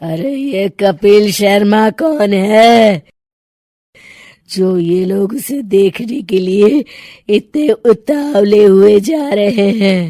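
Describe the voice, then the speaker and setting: Using a cartoonish character voice, a woman speaks with a menacing tone at a medium pitch and a very slow pace. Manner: cackling, menacing.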